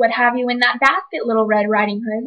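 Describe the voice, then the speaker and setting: A woman's gruff, put-on character voice, fairly high in pitch, at a fairly quick pace. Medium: read story. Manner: sly.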